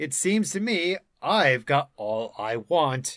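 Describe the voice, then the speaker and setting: Using a put-on character voice, a man speaks at a very slow pace and a fairly high pitch, with very wide pitch swings. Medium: read story. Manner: slow, hesitant.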